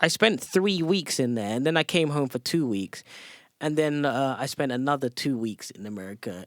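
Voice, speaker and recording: A man with an English accent, fairly high in pitch, with very wide pitch swings and a fairly slow pace, in a dry, close sound with no echo and a very clean recording with a silent background. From England, South London. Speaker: top competitive video gamer. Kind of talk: casual podcast interview.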